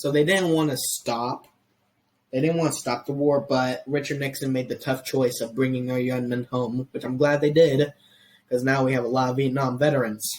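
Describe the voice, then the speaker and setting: A man with an American accent has a somewhat breathy voice at a fairly high pitch. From US, Mexican heritage. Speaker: history podcast host. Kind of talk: casual podcast chat. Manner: halting, many restarts.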